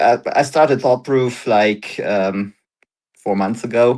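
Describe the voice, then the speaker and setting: At a medium pitch, a man speaks in a German accent. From Germany. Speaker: startup founder. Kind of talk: interview. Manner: halting.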